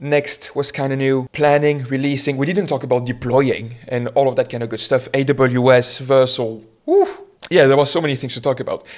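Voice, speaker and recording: Speaking in a French accent, a man keeps a monotone, flat intonation at a medium pitch and a moderate pace. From France. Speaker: web developer, vlogger. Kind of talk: casual talk to camera. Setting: home, alone with camera. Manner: casual, with fillers.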